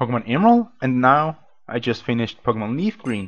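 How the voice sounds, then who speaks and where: A moderate pace with a non-native accent. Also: man. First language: not English. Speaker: let's play gamer. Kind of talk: gameplay commentary. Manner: halting, many fillers.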